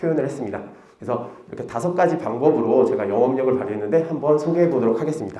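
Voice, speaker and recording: Amid noticeable background noise and audible room echo, a man with a fairly high pitch talks very fast with lively intonation. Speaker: PE teacher. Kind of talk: conference presentation. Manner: casual, conversational.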